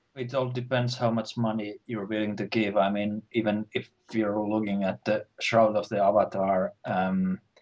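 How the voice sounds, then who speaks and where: A speaker with a Finnish accent talks at a moderate pace in a flat monotone, with hardly any pauses and a dry, close sound that has no echo. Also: man, fairly low pitch for a man. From Finland. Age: middle-aged. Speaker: webcast co-host. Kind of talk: casual chat.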